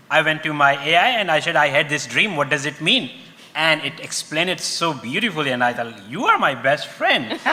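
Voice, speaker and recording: A fairly quick man's voice, fairly high in pitch with ordinary pitch variation, over noticeable background noise. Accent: Pakistani. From Pakistan. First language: Urdu. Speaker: panelist. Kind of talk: panel discussion.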